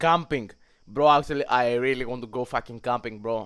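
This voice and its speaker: A man with a Greek accent, fairly even intonation and a moderate pace. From Greece. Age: young. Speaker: streamer. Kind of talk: casual livestream chat. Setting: livestream. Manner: halting.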